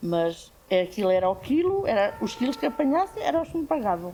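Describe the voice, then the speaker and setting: At a moderate pace, a woman talks with a somewhat breathy, dark, mellow tone at medium pitch. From Portugal, Alentejo (Évora). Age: 60s. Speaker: farm worker. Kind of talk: testimony.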